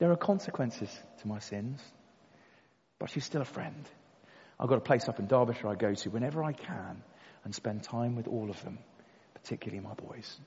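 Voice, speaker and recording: With a southern English accent, a man speaks fairly quickly but with long, frequent pauses, lively intonation, a somewhat breathy voice and big swings in loudness. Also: medium pitch for a man. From Kent, England. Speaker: recovered addict, former soldier. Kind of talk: testimony. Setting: church with audience.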